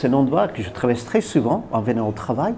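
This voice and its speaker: A man speaks at a moderate pace with a New Zealand accent and very wide pitch swings. Noticeable background noise runs under his voice. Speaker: tour guide. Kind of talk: interview answer. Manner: lively, enthusiastic.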